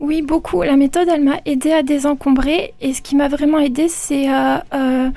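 A woman's high-pitched voice moves with fairly even intonation. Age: 30s. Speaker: listener giving testimony. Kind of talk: testimony. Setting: studio. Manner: hesitant, many fillers.

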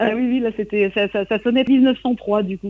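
Speaking at a moderate pace, a woman has an unremarkable speaking voice, fairly high in pitch with ordinary pitch variation. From Brittany, coastal Trégor. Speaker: singer and songwriter. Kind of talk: radio interview. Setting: remote interview from Brittany.

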